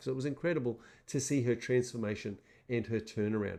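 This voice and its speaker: A man with an Australian accent at a fairly quick pace, ordinary pitch variation, and a quiet background. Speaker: seminar presenter. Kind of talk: motivational webinar talk. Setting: webinar.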